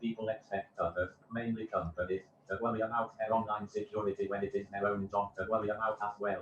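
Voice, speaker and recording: Talking at a very fast pace, a man uses a fairly low pitch, a somewhat breathy voice, very even loudness and monotone, flat intonation. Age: 20s. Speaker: chief security officer. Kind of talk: interview answers.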